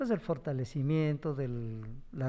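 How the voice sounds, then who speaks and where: A man speaks in a dark, mellow tone at a medium pitch. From Hidalgo, Mexico (Ixmiquilpan). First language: Otomi (Hñähñu) (speaking Spanish). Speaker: teacher and language activist. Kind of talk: panel discussion.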